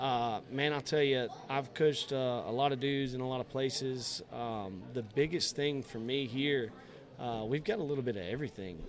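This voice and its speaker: A man with a South Georgia accent, speaking at a moderate pace with ordinary pitch variation. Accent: US Southern (South Georgia). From South Georgia (Valdosta, Lowndes County). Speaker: high school football coach. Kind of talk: casual interview.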